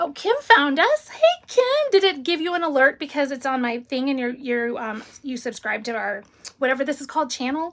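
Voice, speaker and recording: A woman speaks loudly in a high pitch with an American accent. Her tone is animated and her intonation lively. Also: moderate pace. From Illinois. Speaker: paper crafting channel host. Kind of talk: casual live stream chat.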